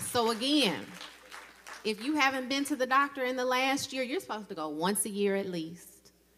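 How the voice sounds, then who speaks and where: Lively intonation marks this woman's speech. She talks at a moderate pace with a Southern US accent. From Mississippi, Jackson. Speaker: dentist and dental professor, guest speaker. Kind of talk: women's day church address.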